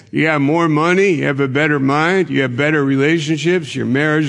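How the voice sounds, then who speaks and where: Music plays behind a man whose voice sits fairly high in pitch. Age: 70s. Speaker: pastor. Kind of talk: sermon. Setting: church.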